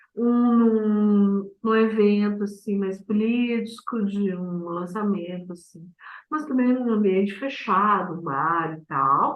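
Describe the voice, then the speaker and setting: A woman speaks at a very slow pace in a medium pitch. Audible room echo surrounds her voice. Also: ordinary pitch variation. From southern Brazil, Vale do Taquari, Rio Grande do Sul. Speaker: poet and performer. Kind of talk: interview. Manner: very slow speech.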